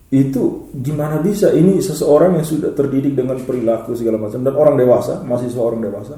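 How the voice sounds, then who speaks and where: Hardly pausing, the speaker talks at a very fast pace with ordinary pitch variation in an East Nusa Tenggara accent. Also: man, fairly high pitch for a man. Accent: eastern Indonesian (NTT) dialect. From eastern Indonesia (NTT). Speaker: lecturer and organization leader, political talk show guest. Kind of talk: casual talk-show discussion.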